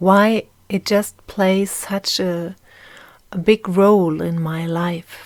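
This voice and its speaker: The recording is very clean, with a silent background. Someone speaks at a very slow pace in a German accent. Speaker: podcast host. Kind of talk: personal monologue. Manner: halting.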